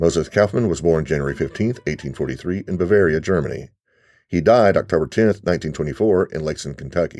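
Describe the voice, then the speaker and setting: In a very clean recording with a silent background, the voice moves at a fairly quick pace with ordinary pitch variation and some vocal fry. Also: man. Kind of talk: self-guided audio walking tour, scripted narration. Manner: formal, measured, clear; instructional, giving step-by-step directions.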